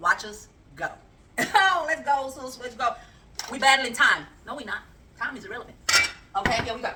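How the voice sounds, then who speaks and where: Amid noticeable background noise, a woman uses a raised, projected voice at a high pitch, animated and with lively intonation, moving at a fairly quick pace with long, frequent pauses and big swings in loudness. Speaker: cooking channel host. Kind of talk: casual cooking vlog chat.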